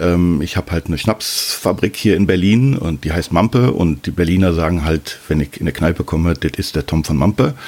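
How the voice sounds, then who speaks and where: Over noticeable background noise, a man with a very deep, low voice speaks at a moderate pace with ordinary pitch variation. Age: 50s. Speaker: father using Instagram. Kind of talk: interview.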